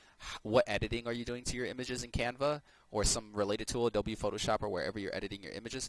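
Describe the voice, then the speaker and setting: At a very fast pace, a man speaks at a medium pitch with fairly even intonation and big swings in loudness. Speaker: website reviewer, blogging and SEO advisor. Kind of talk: screen-share website review tutorial. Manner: casual, filler-heavy.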